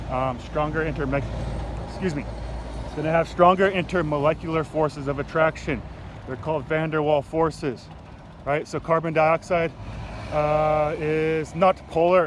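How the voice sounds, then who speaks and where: Noticeable background noise runs under a man's fairly high voice. He speaks in a monotone, flat intonation with long, frequent pauses. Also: moderate pace. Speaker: science teacher. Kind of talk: casual explanatory vlog. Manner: hesitant, many fillers.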